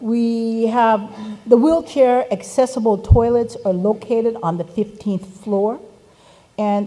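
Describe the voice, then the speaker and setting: Fairly slow speech from a woman with an unremarkable speaking voice, fairly high pitch, and ordinary pitch variation. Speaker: event facilitator. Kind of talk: conference announcements.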